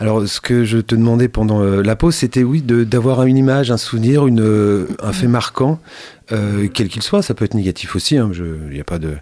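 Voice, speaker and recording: A man at medium pitch with a dark, mellow tone, lively intonation and a moderate pace. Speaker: radio host and journalist. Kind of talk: interview. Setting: radio studio.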